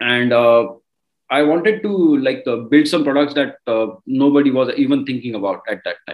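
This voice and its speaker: The speaker has an Indian accent. The pace is moderate and the intonation lively. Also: man. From India, Marathi-speaking. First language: Marathi. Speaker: crypto mining entrepreneur. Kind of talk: interview.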